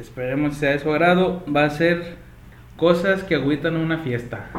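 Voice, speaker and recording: A man's high-pitched voice at a fairly slow pace, fairly even in intonation, with audible room echo and noticeable background noise. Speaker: podcast host. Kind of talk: casual chat. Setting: studio.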